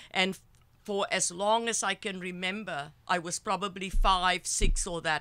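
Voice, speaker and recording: A bright, sharp tone in a South African accent at a fairly slow pace, on a very clean recording with a silent background. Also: woman. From South Africa, Cape Town. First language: Afrikaans. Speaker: psychotherapist and healer. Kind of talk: interview storytelling. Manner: halting.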